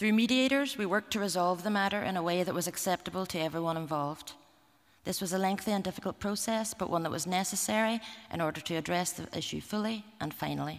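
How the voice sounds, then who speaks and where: A woman in a Derry accent, medium pitch, ordinary pitch variation, very fast pace. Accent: Northern Irish (Derry). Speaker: museum representative. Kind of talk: conference talk. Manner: formal.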